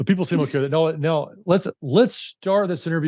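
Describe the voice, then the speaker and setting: In an Alabama accent, a man speaks with lively intonation and a dark, mellow tone. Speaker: podcast host. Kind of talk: interview. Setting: call.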